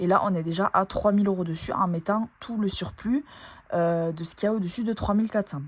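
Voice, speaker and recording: In a southern French accent, a woman speaks with fairly even intonation in a dry, close sound with no echo. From southern France, Toulouse area. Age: 20s. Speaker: nurse and family budget vlogger. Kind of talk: casual budget vlog talk. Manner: hesitant, frequent fillers.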